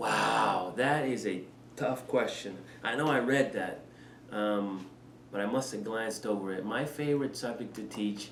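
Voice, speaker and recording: Noticeable background noise and audible room echo around a man's medium-pitched voice, fairly slow, with ordinary pitch variation. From Panama. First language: Spanish. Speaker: head of school. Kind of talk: interview. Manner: hesitant, many fillers.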